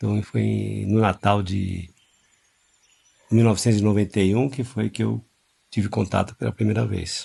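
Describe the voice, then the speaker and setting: A man talks at a moderate pace, stopping for long, frequent pauses. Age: 60s. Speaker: religious group leader. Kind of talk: storytelling interview. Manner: halting.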